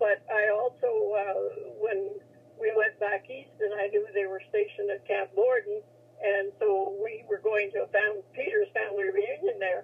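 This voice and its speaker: A woman with a Canadian Prairie accent at a moderate pace. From Saskatchewan, Canada. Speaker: military veteran. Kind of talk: interview, reminiscing. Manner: halting.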